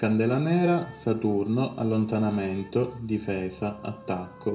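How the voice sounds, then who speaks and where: A man talks at a fairly low pitch while music plays behind him. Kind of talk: esoteric instructional narration.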